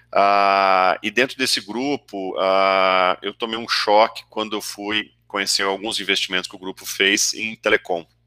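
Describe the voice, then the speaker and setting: A man with a fairly low pitch and a bright, sharp tone talks at a fairly slow pace in a monotone, flat delivery, hardly pausing, on a very clean recording with a silent background and a dry, close sound with no echo. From interior of São Paulo state, Brazil. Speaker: venture capital investor. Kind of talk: interview.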